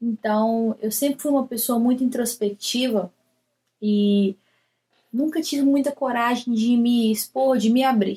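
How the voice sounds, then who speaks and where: A woman talks at a fairly slow pace in a Minas Gerais accent, her voice fairly high in pitch. Her tone is dark and mellow, and somewhat breathy. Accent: Brazilian Portuguese, Minas Gerais. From Brazil, Belo Horizonte (Minas Gerais). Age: 30s. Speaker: poet and writer. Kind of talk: recorded personal talk to camera. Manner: casual, with hesitations.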